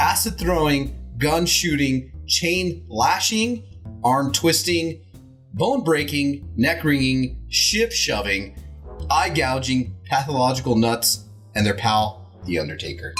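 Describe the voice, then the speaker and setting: A man speaks at a very slow pace and a medium pitch, with very wide pitch swings. Music plays in the background. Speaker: horror movie host. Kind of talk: casual movie discussion on a horror host show.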